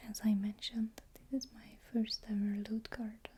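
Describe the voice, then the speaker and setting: A soft-spoken, fairly slow delivery. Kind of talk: ASMR unboxing, soft-spoken talk to camera.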